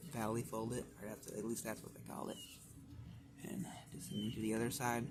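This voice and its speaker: A man speaks at a fairly quick pace with fairly even intonation. Audible room echo and noticeable background noise fill the recording. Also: medium pitch for a man. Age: young. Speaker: origami tutorial maker. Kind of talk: tutorial. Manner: casual.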